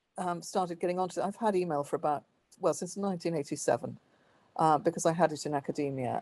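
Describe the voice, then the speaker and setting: With a Welsh accent and a dark, mellow tone, a woman talks at a fairly quick pace with fairly even intonation against a quiet background. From Wales. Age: 50s. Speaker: author and historian. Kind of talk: interview. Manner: hesitant, many fillers.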